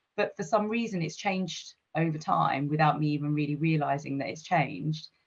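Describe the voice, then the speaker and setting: A woman with a very deep, low pitch sounds somewhat breathy, moving at a fairly quick pace with ordinary pitch variation. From England, Gravesend, Kent. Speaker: tech executive. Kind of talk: interview.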